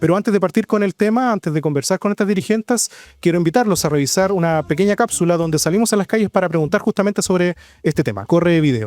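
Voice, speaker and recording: A man's high pitch in a Chilean accent, at a very fast pace with lively intonation, on a very clean recording with a silent background. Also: very even loudness, dry, close sound with no echo. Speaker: local journalist and show host. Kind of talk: community talk show interview.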